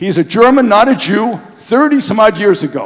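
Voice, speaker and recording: Noticeable background noise sits behind a man with an American accent, a high pitch and an animated tone. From US Northeast (New York). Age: 70s. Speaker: Holocaust memorial activist, speaker. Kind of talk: public talk.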